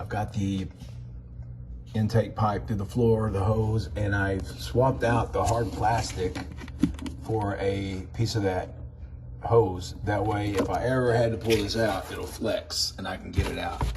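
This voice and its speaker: There is noticeable background noise and audible room echo. A man speaks at a fairly slow pace with ordinary pitch variation. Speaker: reptile enclosure builder. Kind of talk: casual build vlog narration. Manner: casual.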